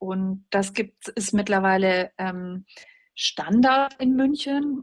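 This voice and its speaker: Her pitch is fairly high with ordinary variation as the woman delivers her words very slowly. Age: 40s. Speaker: journalist and opinion editor. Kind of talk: interview.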